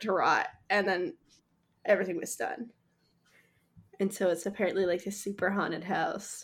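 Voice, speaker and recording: Recorded very cleanly with a silent background, a woman at medium pitch keeps a moderate pace with long, frequent pauses and big swings in loudness. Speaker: podcast guest. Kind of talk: casual chat.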